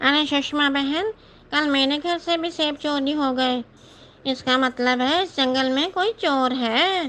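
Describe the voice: It's a cartoonish character voice pitched high. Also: moderate pace.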